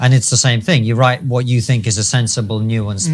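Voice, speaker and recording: His voice is somewhat breathy. The man keeps a fairly quick pace with fairly even intonation. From UK. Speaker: podcast host. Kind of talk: interview.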